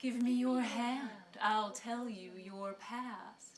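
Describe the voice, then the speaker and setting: The speaker uses a put-on character voice at a very slow pace. Intonation stays fairly even throughout. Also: woman, fairly high pitch for a woman. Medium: stage play. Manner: coaxing, sly.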